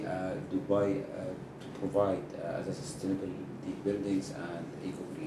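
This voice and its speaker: Audible room echo and noticeable background noise surround speech delivered at a moderate speed. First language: Arabic. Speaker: TV show host. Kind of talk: interview. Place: office.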